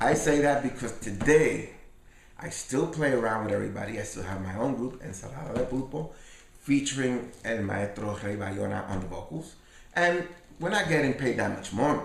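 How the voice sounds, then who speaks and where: With noticeable background noise and audible room echo, a man of medium pitch speaks at a moderate pace with lively intonation. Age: 60s. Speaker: salsa pianist and bandleader. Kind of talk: interview. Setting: at his home.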